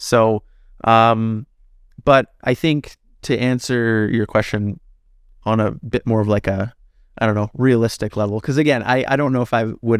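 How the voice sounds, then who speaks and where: In a normal speaking voice with a Canadian accent, a man talks at a moderate pace and medium pitch with ordinary pitch variation, in a dry, close sound with no echo on a very clean recording with a silent background. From Canada, northern Alberta. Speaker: personal trainer and natural bodybuilder. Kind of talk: casual interview.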